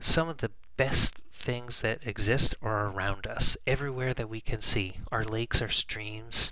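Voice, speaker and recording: A man with a medium pitch talks at a fairly slow pace, his tone bright and sharp and his pitch varying in an ordinary way. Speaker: teacher. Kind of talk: classroom lesson review. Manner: whispered at times.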